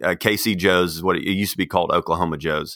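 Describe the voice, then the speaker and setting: In an American accent, a man speaks with a very deep, low pitch, a bright, sharp tone and ordinary pitch variation. The recording is very clean with a silent background and a dry, close sound with no echo. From Texas. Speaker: seminary dean and author. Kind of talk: casual interview. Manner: halting, many fillers.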